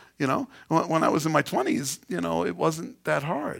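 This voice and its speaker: A man speaks at a fairly slow pace with a New York accent, lively intonation and vocal fry. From New York City (Queens). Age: 50s. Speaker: pastor. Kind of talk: sermon.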